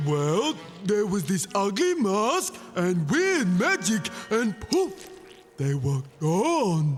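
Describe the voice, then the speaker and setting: At a very slow pace, a cartoonish character voice at middle pitch comes through over clear background noise. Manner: slow, goofy.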